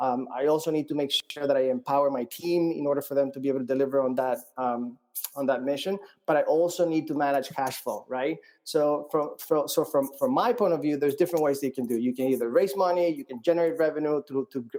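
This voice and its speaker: A man with a Colombian accent speaks at a fairly quick pace and a fairly high pitch. His tone is dark and mellow, with ordinary pitch variation. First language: Spanish. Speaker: startup founder. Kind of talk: interview. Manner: halting, many fillers and repeats.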